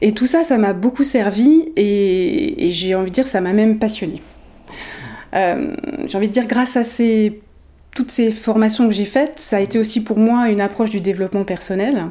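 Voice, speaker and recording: Against noticeable background noise, a woman speaks at a fairly high pitch and moderate pace with ordinary pitch variation. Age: 40s. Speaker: emotional intelligence coach. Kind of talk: interview.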